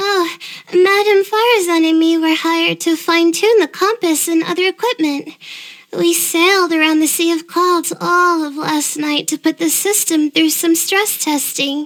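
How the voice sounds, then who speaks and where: In a put-on character voice, a woman speaks at a moderate pace with fairly even intonation. Her pitch is extremely high and squeaky. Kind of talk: game voice acting. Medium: video game. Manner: hesitant, stammering.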